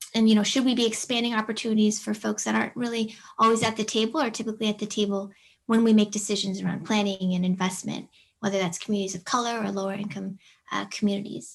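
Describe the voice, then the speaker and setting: Against a quiet background, the speaker talks very fast and somewhat breathily, keeping the intonation fairly even. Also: woman, fairly high pitch for a woman. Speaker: city planning manager. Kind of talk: presentation at online public meeting. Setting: video call.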